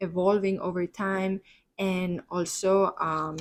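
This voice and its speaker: The speaker has a Spanish accent. The intonation stays fairly even. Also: woman. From Spain, Barcelona. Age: 20s. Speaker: podcast host. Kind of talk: solo podcast monologue. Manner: hesitant, many fillers.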